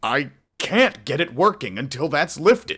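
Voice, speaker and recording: At a moderate pace and a fairly high pitch, a man talks in a put-on character voice. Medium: read story.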